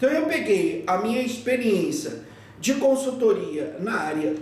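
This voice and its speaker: At a fairly slow pace, a man speaks in an extremely high pitch with very wide pitch swings. Noticeable background noise and audible room echo surround him. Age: 60s. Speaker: feng shui teacher. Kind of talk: lecture. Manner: halting.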